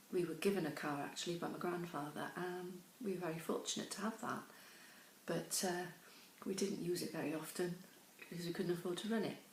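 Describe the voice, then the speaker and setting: Speaking at a fairly quick pace with long, frequent pauses, a woman with a British accent has fairly low pitch and fairly even intonation, with audible room echo and noticeable background noise. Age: 60s. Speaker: pension campaigner. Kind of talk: testimony. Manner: hesitant, many fillers.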